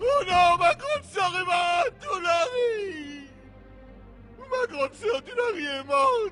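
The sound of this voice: Shouting slowly in a put-on character voice, a man hits an extremely high pitch with a bright, sharp tone as faint music plays behind him. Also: lively intonation.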